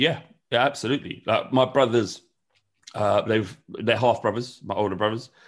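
Speaking with a London accent, a man with a medium-pitched voice talks at a moderate pace with fairly even intonation over a quiet background. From North London. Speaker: football fan channel creator. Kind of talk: casual interview chat. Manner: halting.

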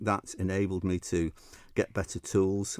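A voice with a Manchester accent on a very clean recording, the background silent. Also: man. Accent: Mancunian northern English. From Manchester, northern England. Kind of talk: interview chat. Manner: halting, hesitant with repeats.

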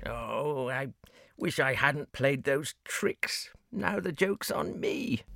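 A very slow, fairly high put-on character voice from a man. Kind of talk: bedtime story character acting. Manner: cheeky, teasing, later remorseful.

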